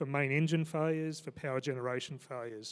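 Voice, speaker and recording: A man with a fairly high pitch talks at a fairly quick pace. His intonation is fairly even, and the recording is very clean, with a silent background. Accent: Australian. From Australia. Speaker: maritime safety regulator. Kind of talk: conference panel talk. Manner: fast.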